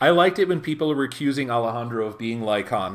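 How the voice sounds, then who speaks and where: The speaker is a man with an American accent. He talks at a fairly quick pace in a relaxed tone. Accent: American, natural voice. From US, California and Midwest. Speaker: voice actor. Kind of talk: casual livestream chat while signing. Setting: livestream from a friend's home. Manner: relaxed, conversational.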